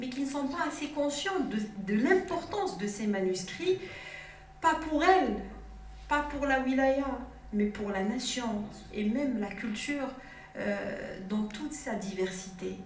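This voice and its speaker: A woman speaks very slowly in a high pitch with very wide pitch swings and long, frequent pauses, amid light background noise and audible room echo. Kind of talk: formal speech. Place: hall.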